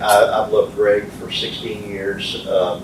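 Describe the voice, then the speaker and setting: An American accent comes through noticeable background noise and audible room echo. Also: man. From military childhood, Philippines and US moves. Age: 60s. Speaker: community leader and soccer coach. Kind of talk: motivational talk. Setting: speaking to a men's group.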